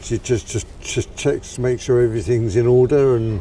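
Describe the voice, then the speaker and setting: There is noticeable background noise behind the voice. A man talks at a medium pitch. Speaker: man with Parkinson's discussing his condition. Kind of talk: casual chat. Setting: outdoors in a park. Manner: halting with repetitions.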